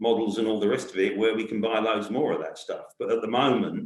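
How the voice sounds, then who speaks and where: A man with a London accent speaks in a fairly low pitch, with audible room echo around him. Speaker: community housing organisation worker. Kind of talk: panel discussion. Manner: halting.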